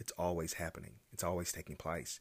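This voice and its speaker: The man has an American accent, and his very deep, low voice shows vocal fry. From North Carolina. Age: 20s. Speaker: podcast host. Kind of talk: solo monologue. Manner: halting.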